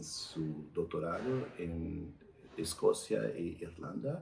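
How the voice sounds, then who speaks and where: Noticeable background noise sits behind a man whose pitch is very deep and low. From Brazil. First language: Portuguese (speaking Spanish). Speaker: doctor. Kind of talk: interview. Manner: halting.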